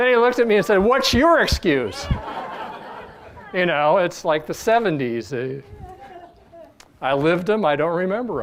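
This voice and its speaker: Through noticeable background noise, a high-pitched man swings widely in pitch and leaves long, frequent pauses. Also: moderate pace. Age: 60s. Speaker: astronomy professor. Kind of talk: lecture. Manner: casual, with filler words.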